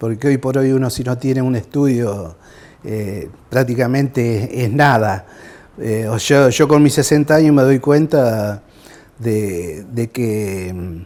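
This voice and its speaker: Here a man speaks very slowly at a medium pitch, with ordinary pitch variation. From Argentina, Rosario area (Santa Fe). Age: 60s. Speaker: war veteran. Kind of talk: testimony. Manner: halting.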